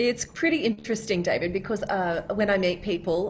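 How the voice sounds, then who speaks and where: Noticeable background noise sits behind a woman with an Australian accent. She speaks at a medium pitch with ordinary pitch variation. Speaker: voice of a phone assistant and GPS. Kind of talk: interview answer.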